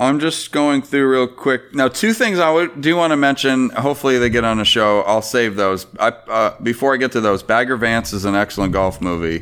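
An unremarkable speaking voice from a man at medium pitch, fairly quick, with hardly any pauses, lively intonation and very even loudness. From Florida, US. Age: 40s. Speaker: former baseball player. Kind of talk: casual chat.

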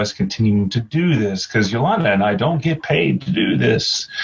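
A man at a moderate pace, ordinary pitch variation, noticeable background noise behind him. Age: 40s. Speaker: podcast host. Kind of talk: casual chat.

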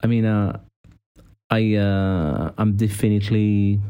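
A man speaks with a French accent at a fairly low pitch. His tone is dark and mellow. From France. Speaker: podcast co-host, personal trainer. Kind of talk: casual interview.

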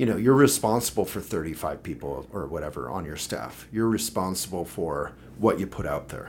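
A man with an American accent, very deep and low in pitch, at a moderate pace with hardly any pauses, big swings in loudness, very wide pitch swings and vocal fry. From Boulder, Colorado. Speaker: political candidate and publisher. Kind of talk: casual chat. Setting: office.

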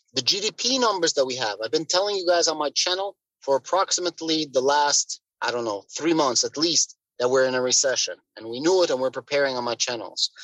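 A man with a fairly high pitch and a normal speaking voice talks at a fairly quick pace with lively intonation, the sound dry and close with no echo. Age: 30s. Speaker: crypto content creator. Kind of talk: casual chat.

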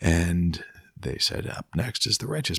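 With a Canadian accent, a man speaks at a fairly slow pace in a very deep, low pitch. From Ontario, Canada (Peterborough). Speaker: songwriter and music producer. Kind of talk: casual interview chat. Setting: at the host's home.

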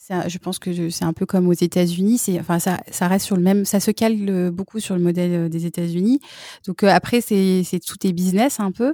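A woman with a dark, mellow tone speaks at a moderate pace and medium pitch with fairly even intonation, in a very clean recording with a silent background and a dry, close sound with no echo. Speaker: French teacher, expat mother. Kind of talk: casual interview.

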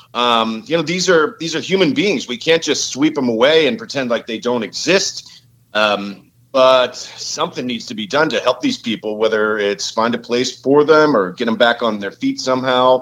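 With an unremarkable speaking voice, a man at medium pitch uses lively intonation and a moderate pace, hardly pausing at all. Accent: American. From Pittsburgh, Pennsylvania. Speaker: caller. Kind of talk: call-in discussion.

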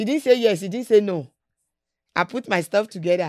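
Delivered at a very fast pace in a Nigerian accent, the speech comes through a very clean recording with a silent background. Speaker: businesswoman. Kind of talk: interview.

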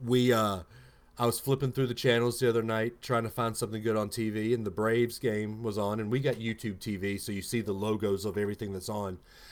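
With a Southern US accent, a man speaks at medium pitch and a fairly quick pace. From Alabama, US South. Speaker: podcast host. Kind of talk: casual chat. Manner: animated.

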